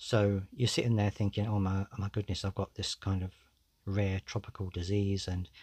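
Somewhat breathy, a man speaks in a dry, close sound with no echo. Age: 40s. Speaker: podcast host. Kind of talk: solo podcast monologue. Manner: casual, conversational.

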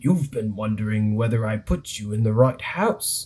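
A man puts on a character voice, speaking at a moderate pace in a medium pitch. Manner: smart, knowing.

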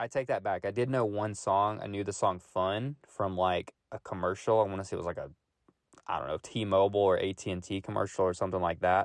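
With a Tennessee accent, this speaker keeps a moderate pace and fairly even intonation, the sound dry and close with no echo on a very clean recording with a silent background. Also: man. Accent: Southern US (Tennessee). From Middle Tennessee. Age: 20s. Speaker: podcast host. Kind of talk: casual solo monologue.

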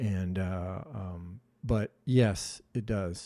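A man with an Upper Midwest US accent in a very clean recording, silent background. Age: 60s. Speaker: mentor. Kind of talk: casual chat. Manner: halting.

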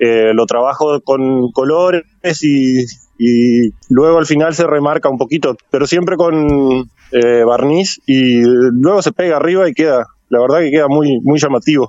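The speech moves at a fairly slow pace, with ordinary pitch variation and very even loudness. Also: man, fairly high pitch for a man. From Argentina, Entre Ríos (San Salvador). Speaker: painter. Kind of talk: radio interview. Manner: halting, repetitive.

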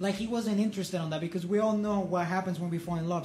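Audible room echo surrounds a man with a high pitch. His intonation stays fairly even. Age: 20s. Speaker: podcast co-host, student film festival marketer. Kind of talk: casual chat.

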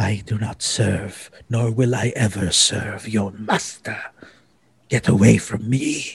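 At a fairly slow pace, a man does a put-on character voice. His pitch is medium. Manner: defiant, refusing.

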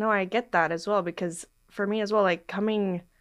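Over a quiet background, a woman with an American accent uses an unremarkable speaking voice at a medium pitch with ordinary pitch variation. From Portland, Oregon. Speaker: travel podcast host. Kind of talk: casual interview chat.

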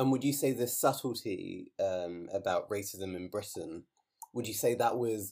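With a normal speaking voice, a man talks at a fairly slow pace and medium pitch, using ordinary pitch variation. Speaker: podcast host. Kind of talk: interview. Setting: remote call.

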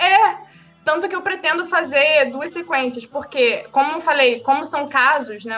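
Bright, sharp tone in a woman's raised, projected voice. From Brazil, Rio de Janeiro state (São Gonçalo). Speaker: independent novelist. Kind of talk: casual interview. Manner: talkative.

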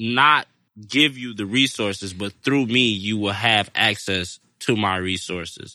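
Over a quiet background, a man with an American accent speaks in a fairly low voice with a bright, sharp tone and ordinary pitch variation. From Detroit, Michigan. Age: 20s. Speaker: cannabis grower. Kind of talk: casual interview.

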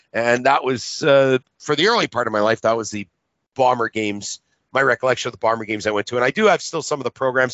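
A man with a Canadian accent talks at a very fast pace. His pitch is medium, with ordinary variation. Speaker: talk show host. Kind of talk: podcast talk show. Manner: halting.

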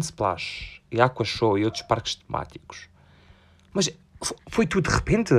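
An animated voice with a European Portuguese accent, captured in a very clean recording over a silent background. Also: man. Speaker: podcaster. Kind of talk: casual chat.

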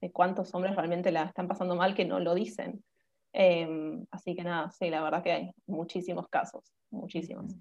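Her tone dark and mellow, a woman speaks at a moderate pace in a fairly low pitch with monotone, flat intonation. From Buenos Aires, Argentina. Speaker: nutritionist and dancer. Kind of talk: interview, informative chat.

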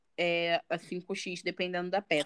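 Over a quiet background, a woman speaks at medium pitch and a very slow pace. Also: dry, close sound with no echo. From Baixada Fluminense, Rio de Janeiro, Brazil. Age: 20s. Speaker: fashion designer and content creator. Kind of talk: casual chat.

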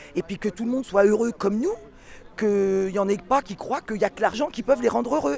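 The speech runs at a fairly quick pace with very wide pitch swings. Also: woman. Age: 50s. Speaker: yellow vest protester. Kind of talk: street interview, impassioned. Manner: animated.

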